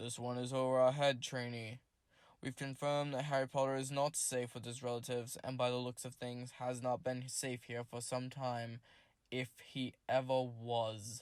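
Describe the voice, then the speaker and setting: A man's growling, put-on character voice at medium pitch, monotone and flat in intonation, at a moderate pace, on a very clean recording with a silent background. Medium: read story. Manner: stern, commanding.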